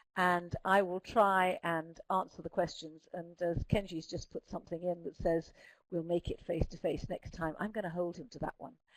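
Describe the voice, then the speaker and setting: A woman with a southern English accent speaks at a moderate pace and medium pitch with fairly even intonation, in a dry, close sound with no echo. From Scotland. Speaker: speech therapist presenting a webinar. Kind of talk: webinar presentation. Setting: online webinar. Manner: clear enunciation.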